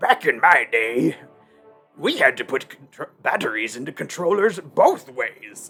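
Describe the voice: A man's put-on character voice, high-pitched, at a fairly slow pace, with faint music in the background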